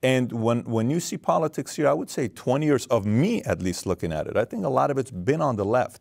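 Speaking at a fairly quick pace with hardly any pauses, a man uses lively intonation and vocal fry. The background is quiet. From Iran. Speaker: podcast host. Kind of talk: interview. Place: studio. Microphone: lapel.

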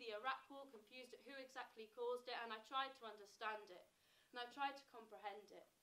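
A woman with an English accent, high pitch, ordinary pitch variation and a fairly quick pace. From England. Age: 20s. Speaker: spoken word poet. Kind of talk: spoken word performance. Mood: reflective, wry. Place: stage. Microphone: camera far.

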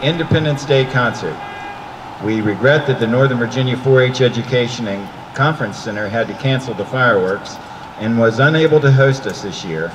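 A man, with ordinary pitch variation, talks at a fairly quick pace while noticeable background noise carries on. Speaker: concert narrator. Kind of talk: public announcement. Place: street.

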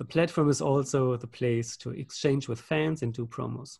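The background is quiet as a man talks at medium pitch. His voice is somewhat breathy, with ordinary pitch variation. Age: 40s. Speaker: game master; game facilitator. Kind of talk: game facilitation over video call. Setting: video call. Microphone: video call.

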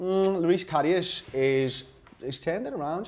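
A man in a Liverpool accent with lively intonation. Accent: Scouse. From Liverpool, England. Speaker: football fan pundit. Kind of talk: heated debate. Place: studio. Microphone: lapel.

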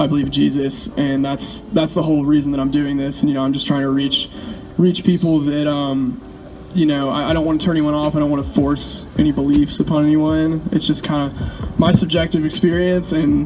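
Noticeable background noise runs through the clip. The talking moves at a fairly quick pace. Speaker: interviewee. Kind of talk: interview answer. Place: street.

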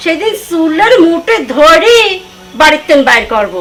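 In a put-on character voice, a woman speaks at a fairly slow pace with an extremely high pitch, big pitch swings and a fairly bright tone.

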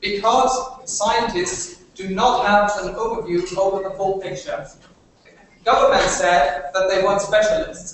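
A man with a German accent speaks fairly slowly in a high voice with ordinary pitch variation. Strong room echo and light background noise surround him. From Germany. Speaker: university debater. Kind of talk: competitive debate speech. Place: classroom. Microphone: camera far.

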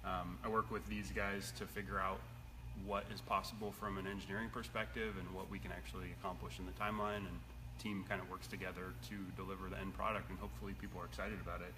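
A man with a very deep, low pitch talks at a very fast pace over noticeable background noise. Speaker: product manager host. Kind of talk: casual live stream chat. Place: workshop. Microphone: phone near.

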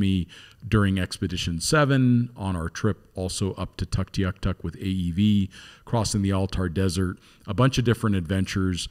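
Over a quiet background, a man talks at a moderate pace in a very deep, low pitch. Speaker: podcast host. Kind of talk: podcast introduction. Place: studio. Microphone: studio mic.

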